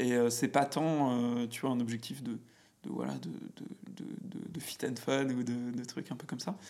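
This man talks at a fairly slow pace in a medium pitch, with ordinary pitch variation and a dark, mellow tone. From France, Auvergne (near Clermont-Ferrand). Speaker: business manager and podcaster. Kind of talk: casual chat. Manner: halting, many fillers and repetitions. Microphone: echoey, cavernous room sound.

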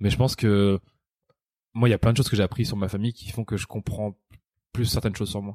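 This man has a dark, mellow tone and a fairly low pitch, speaking at a very fast pace with monotone, flat intonation and long, frequent pauses. The sound is dry and close, with no echo. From France, Picardie. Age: 30s. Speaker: comedian. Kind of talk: interview.

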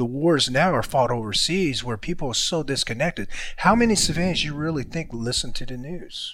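A man talks fairly quickly with lively intonation and a fairly high pitch. He has an unremarkable speaking voice. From born in a war-torn country, raised in US. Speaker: former Green Beret. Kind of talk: casual chat.

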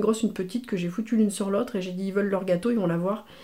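Her speech comes at a very fast pace. The woman's intonation is fairly even. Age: 50s. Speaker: mother of the host. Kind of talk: casual chat.

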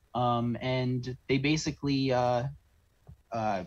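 This man has a Canadian accent. He uses an ordinary speaking voice. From Southern Ontario, Canada (St. Catharines). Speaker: oil field worker telling his story. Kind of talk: interview. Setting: video call.

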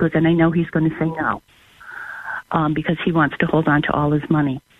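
Noticeable background noise surrounds the speaker. She is a woman with a fairly low pitch. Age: 50s. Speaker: caller. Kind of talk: phone-in question.

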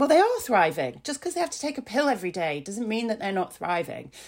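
Recorded very cleanly against a silent background, a woman speaks with a Yorkshire accent. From Yorkshire, northern England. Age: 40s. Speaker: blogger and mental health advocate. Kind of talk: casual interview chat. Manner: halting, many fillers.

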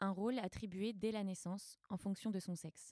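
The sound is dry and close, with no echo. A woman with a dark, mellow tone speaks at a moderate pace, medium in pitch with fairly even intonation. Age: 20s. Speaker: podcast co-host and actress. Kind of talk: scripted narration.

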